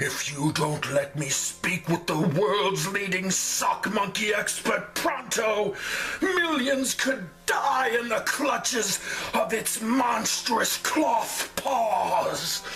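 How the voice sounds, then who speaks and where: A man in a put-on character voice at a high pitch and a very slow pace, with clear background noise. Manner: overwrought, dramatic.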